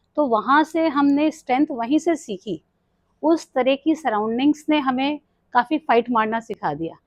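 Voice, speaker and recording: Ordinary pitch variation with a Kumaon accent, dry and close with no echo, over a quiet background. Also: woman. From Delhi, India (Kumaoni family from Uttarakhand). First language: Kumaoni (speaking Hindi). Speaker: retired nurse, yoga and mindfulness coach. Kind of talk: podcast interview.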